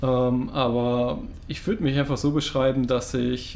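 A man speaks at medium pitch. Background noise is noticeable. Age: 20s. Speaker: podcast co-host, student. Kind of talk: casual chat.

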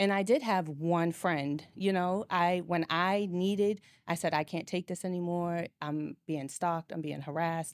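A woman with a plain, everyday voice and an American accent speaks at a moderate pace with a fairly low pitch and ordinary pitch variation in a very clean recording with a silent background. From Boston. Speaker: nurse and domestic abuse survivor. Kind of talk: personal testimony in interview.

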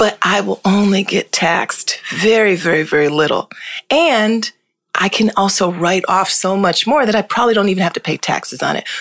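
A woman with an American accent talks at a moderate pace and medium pitch, with ordinary pitch variation, in a plain, everyday voice. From Hartford, Connecticut. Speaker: lawyer and law firm founder. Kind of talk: casual interview chat.

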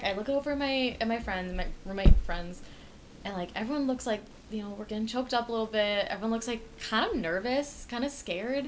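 A woman with fairly high pitch and lively intonation, over noticeable background noise. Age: 20s. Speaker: college podcast co-host. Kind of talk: casual chat. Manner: animated.

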